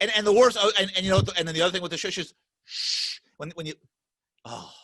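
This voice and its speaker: The voice is raised and projected, with a bright, sharp tone, at a very fast pace. Its loudness swings a great deal. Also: man, high pitch for a man, ordinary pitch variation. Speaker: podcast host. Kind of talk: casual chat. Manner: emphatic.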